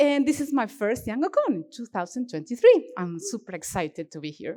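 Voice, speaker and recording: A woman speaks at a moderate pace in an Argentine accent. Her pitch swings very widely. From Argentina, Cordoba region. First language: Spanish. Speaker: software developer, conference speaker. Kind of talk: conference talk. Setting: stage with audience. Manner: animated, expressive; halting.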